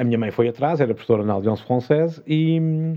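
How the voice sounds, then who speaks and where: This man talks at a very fast pace. His pitch variation is ordinary. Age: 50s. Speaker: former TV and film professional turned entrepreneur. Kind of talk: interview conversation.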